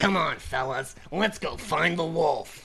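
A put-on character voice at a middle pitch moves at a fairly slow pace over clear background noise. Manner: cartoonish, encouraging.

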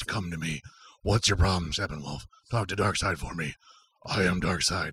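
A raspy, very deep, low-pitched put-on character voice from a man at a moderate pace. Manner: menacing, commanding.

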